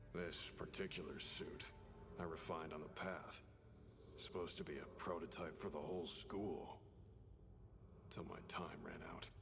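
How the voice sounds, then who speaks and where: Over loud background noise, a man puts on a character voice with a very deep, low pitch, speaking at a moderate pace with long, frequent pauses. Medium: video game. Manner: terse, clipped.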